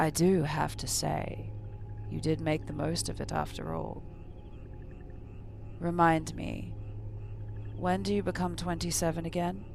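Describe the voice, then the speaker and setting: Using a put-on character voice, a man speaks at a moderate pace with long, frequent pauses, and background noise is clearly heard. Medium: read story. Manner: smooth, courteous menace.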